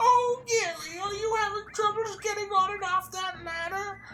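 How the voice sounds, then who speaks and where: A put-on character voice at an extremely high pitch and moderate pace, over clear background noise. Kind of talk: mocking. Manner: solicitous, teasing.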